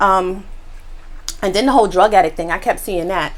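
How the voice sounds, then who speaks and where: Over noticeable background noise, a woman with a medium pitch speaks in an animated tone at a fairly quick pace. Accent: American. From New York. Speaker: mukbang youtuber. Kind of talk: casual eating vlog reaction.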